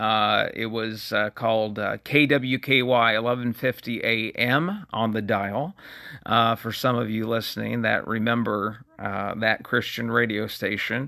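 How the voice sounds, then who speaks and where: Speaking at a fairly slow pace, a man uses medium pitch and fairly even intonation. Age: 40s. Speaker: podcast host. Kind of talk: solo talk show monologue. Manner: halting, many fillers.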